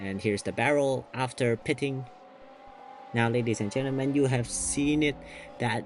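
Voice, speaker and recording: A soft-spoken man with a medium pitch talks at a fairly slow pace, leaving long, frequent pauses, with music playing in the background. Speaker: sim racing commentator. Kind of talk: live commentary. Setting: at home. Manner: kept quiet, soft-spoken; animated.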